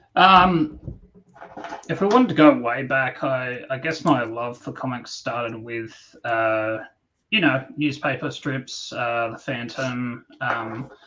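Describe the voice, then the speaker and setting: Speaking very slowly with an Australian accent, a man uses medium pitch, ordinary pitch variation and a bright, sharp tone. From Australia, New South Wales (Newcastle, Sydney). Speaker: comic book creator. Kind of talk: podcast interview. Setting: live stream.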